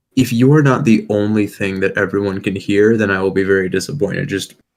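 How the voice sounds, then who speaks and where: Quiet and fairly low-pitched, a man speaks at a moderate pace with ordinary pitch variation. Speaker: YouTuber co-host of review stream. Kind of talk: casual chat. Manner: quiet at the moment.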